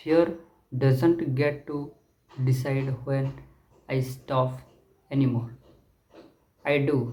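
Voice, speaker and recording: A man's fairly high, somewhat breathy voice with a dark, mellow tone. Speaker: self-improvement creator. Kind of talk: motivational talk to camera.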